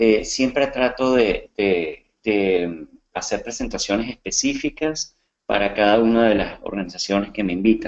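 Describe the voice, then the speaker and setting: This man, with a Venezuelan accent, speaks at a medium pitch and a fairly slow pace. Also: ordinary pitch variation. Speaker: coach and comedian. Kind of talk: webinar presentation. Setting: online webinar.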